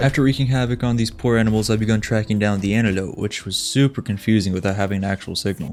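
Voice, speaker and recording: A man talks at a very fast pace with hardly any pauses, in a fairly low pitch with fairly even intonation. Noticeable background noise is present. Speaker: gaming youtuber. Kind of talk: scripted narration.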